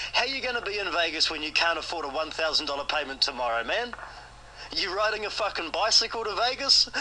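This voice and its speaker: Man's raised, projected voice at a fairly quick pace, very wide pitch swings, noticeable background noise. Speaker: creditor confronting a debtor. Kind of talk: heated phone argument.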